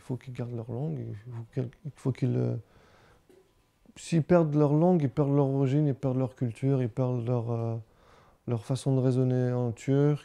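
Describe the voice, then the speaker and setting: Pausing long and often, a man speaks at a medium pitch with fairly even intonation. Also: moderate pace. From Brittany, France (Quimper). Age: 30s. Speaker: father of a bilingual family. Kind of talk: interview testimony. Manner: hesitant, with repetitions.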